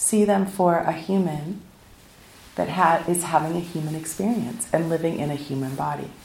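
With an American accent, a woman speaks at a fairly low pitch and moderate pace with ordinary pitch variation, amid audible room echo. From US West Coast, South Pasadena, California. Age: 50s. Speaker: meditation teacher. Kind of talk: dharma talk. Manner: casual and conversational.

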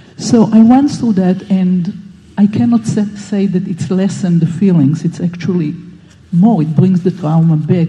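The speech comes at a fairly slow pace against noticeable background noise. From Israel. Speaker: meditation participant. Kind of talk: personal sharing.

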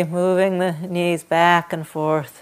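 A woman talks in a plain, everyday voice at a medium pitch. Her pace is fairly slow, and the recording is very clean with a silent background. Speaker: meditation and yoga teacher. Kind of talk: guided meditation. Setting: meditation hall with a group in person. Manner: slow, soft, calm and soothing with long pauses.

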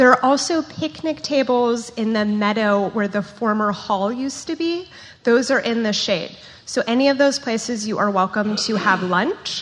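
With an unremarkable speaking voice, a woman talks at a fairly high pitch and a moderate pace with ordinary pitch variation. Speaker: event manager. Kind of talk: welcome announcements. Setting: meditation center hall with audience.

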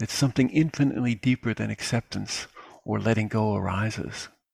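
A man talks at a moderate pace and a medium pitch. His voice is somewhat breathy, with ordinary pitch variation. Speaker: meditation teacher. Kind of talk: dharma talk and Q&A. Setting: live webinar.

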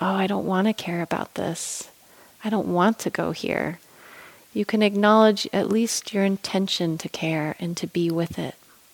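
In an unremarkable speaking voice, the speaker keeps fairly even intonation, the sound dry and close with no echo. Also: woman. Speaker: meditation teacher. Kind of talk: guided meditation. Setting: meditation retreat hall with participants. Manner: slow, soft, calm and gentle with long pauses; warm, soothing, tender.

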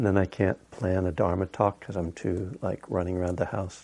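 A man with a very deep, low pitch speaks at a fairly quick pace with fairly even intonation against a quiet background. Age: old. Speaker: meditation teacher. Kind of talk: dharma talk. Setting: meditation hall with audience. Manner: casual and joking.

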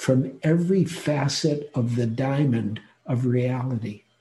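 This man has a dark, mellow tone that is somewhat breathy, with ordinary pitch variation. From US Midwest, Detroit. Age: 70s. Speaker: meditation teacher. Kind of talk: dharma talk. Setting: online retreat talk.

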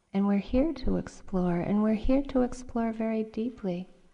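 Fairly high in pitch, a woman's voice carries a dark, mellow tone, a gentle, warm tone and ordinary pitch variation. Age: 40s. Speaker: meditation teacher. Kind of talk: dharma talk at a meditation retreat, reflective personal teaching with anecdotes. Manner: gentle, conversational, unhurried with frequent uh and um fillers; warm, candid storytelling tone.

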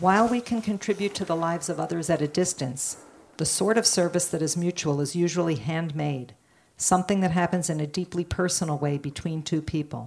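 Fairly low in pitch with ordinary pitch variation, a woman speaks in a plain, everyday voice. She moves at a fairly quick pace on a very clean recording with a silent background. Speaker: volunteer reader. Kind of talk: reading aloud a story.

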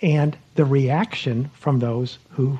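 His tone is dark, mellow and somewhat breathy. The man's pitch variation is ordinary. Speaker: meditation retreat teacher. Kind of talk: retreat teaching and guided meditation.

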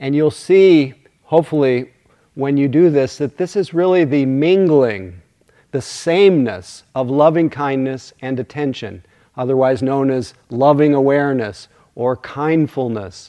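A man with a fairly high pitch speaks at a fairly slow pace. His is an ordinary speaking voice, with ordinary pitch variation. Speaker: meditation teacher. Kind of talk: guided meditation, then dharma talk. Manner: soothing, slow, gentle pacing; warm, hushed, unhurried.

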